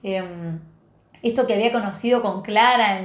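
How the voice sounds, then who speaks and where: A woman's fairly high voice at a moderate pace, its intonation fairly even, with audible room echo. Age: 30s. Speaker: podcast host and entrepreneur. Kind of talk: personal storytelling monologue. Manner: casual, hesitant with fillers.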